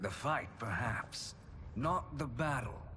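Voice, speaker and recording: A man uses a put-on character voice at a medium pitch and a fairly slow pace. Background noise is clearly audible. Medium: video game. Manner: smooth, sardonic.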